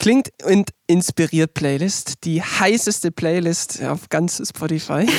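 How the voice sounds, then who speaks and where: Recorded dry and close with no echo, a high-pitched man speaks at a very slow pace with hardly any pauses and ordinary pitch variation. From rural Germany. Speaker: podcast host and musician. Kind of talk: casual interview; podcast intro and outro.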